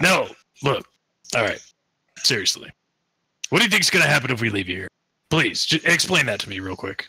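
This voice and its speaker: Using a raspy, put-on character voice at medium pitch, a man talks at a fairly quick pace with very wide pitch swings, big swings in loudness and long, frequent pauses. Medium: actual play. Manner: crude, aggressive, profane.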